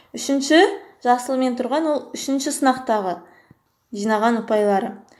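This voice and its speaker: A woman at a moderate pace, a normal speaking voice, ordinary pitch variation. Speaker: math teacher. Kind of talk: tutorial.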